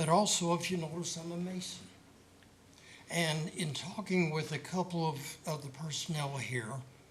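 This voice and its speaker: Audible room echo surrounds a voice moving at a moderate pace with fairly even intonation. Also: man, fairly high pitch for a man. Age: 70s. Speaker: citizen commenter. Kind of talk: public comment.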